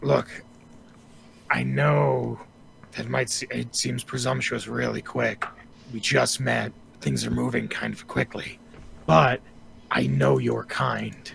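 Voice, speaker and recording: Put-on character voice from a man, raspy and very deep, low in pitch, at a fairly slow pace with long, frequent pauses, fairly even intonation and clear background noise. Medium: actual play. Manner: smooth, ingratiating, salesman-like.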